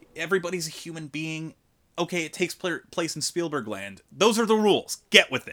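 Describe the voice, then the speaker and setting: On a very clean recording with a silent background, a man with an American accent speaks at a fairly quick pace and a high pitch, his tone bright and sharp and his loudness swinging widely. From US Northeast. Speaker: film critic. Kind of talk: casual chat. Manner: halting.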